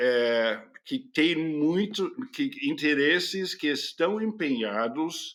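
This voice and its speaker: Very slow speech from a man, fairly high in pitch. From California, United States. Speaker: journalist. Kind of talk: interview answer.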